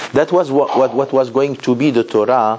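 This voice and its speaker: A man's voice with lively intonation over noticeable background noise. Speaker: rabbi, Torah teacher. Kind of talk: lecture.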